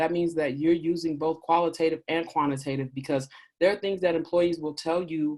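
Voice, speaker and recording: A woman talks at a fairly quick pace in a very deep, low pitch with monotone, flat intonation. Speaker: diversity and inclusion consultant. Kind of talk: webinar Q&A talk. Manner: fast.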